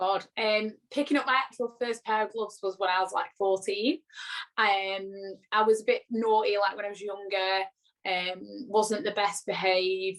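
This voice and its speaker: A woman speaks with a Lancashire accent. Her pace is moderate and her intonation fairly even. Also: medium pitch for a woman. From northern England, Blackpool, Lancashire. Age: 20s. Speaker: pro boxer. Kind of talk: interview.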